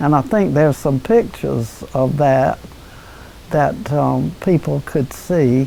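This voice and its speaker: A woman with an American accent speaks at a very slow pace in a very deep, low pitch. Noticeable background noise can be heard. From North Carolina. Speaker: former town mayor. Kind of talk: interview answer. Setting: at home.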